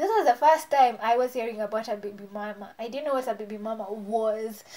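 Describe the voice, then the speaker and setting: Against noticeable background noise, a woman talks at a fairly quick pace in a fairly high pitch, her tone animated, with ordinary pitch variation and big swings in loudness. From Kenya, Nairobi. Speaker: beauty vlogger. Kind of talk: storytime vlog. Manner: casual, animated.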